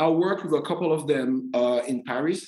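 A French accent over noticeable background noise. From Martinique. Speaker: podcast host and tour guide. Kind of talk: interview.

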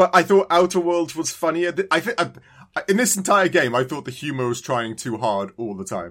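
A man with a fairly high voice speaks at a moderate pace, his pitch swinging very widely. The recording is very clean, with a silent background. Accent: British. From UK. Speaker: podcast co-host. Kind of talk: casual chat.

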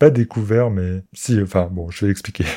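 In a very clean recording with a silent background, a man with a fairly low pitch and a dark, mellow tone speaks at a moderate pace with fairly even intonation. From Lorraine, France. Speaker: podcaster. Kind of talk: solo personal monologue. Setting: recording alone.

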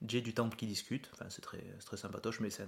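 A man at medium pitch speaks very fast in a southern French accent. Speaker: podcast host and nurse. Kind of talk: casual chat.

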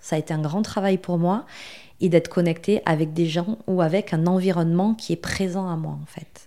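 A woman speaks at a moderate pace with a dark, mellow tone. Her voice is fairly low and her intonation fairly even. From southwestern France. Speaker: marketing agency founder. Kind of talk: podcast interview. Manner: hesitant, with frequent fillers.

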